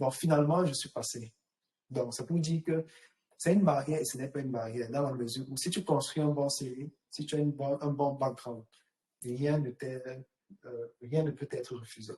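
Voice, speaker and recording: A man with a fairly high pitch and a dark, mellow tone speaks at a moderate pace, somewhat breathy, with fairly even intonation and long, frequent pauses. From Cameroon. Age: young. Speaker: actuary. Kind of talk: interview.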